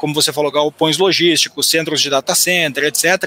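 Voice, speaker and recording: Heard dry and close with no echo over noticeable background noise, a man speaks in a flat, monotone way at a fairly high pitch. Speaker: economist and educator. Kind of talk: finance webinar. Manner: halting, frequent repetitions.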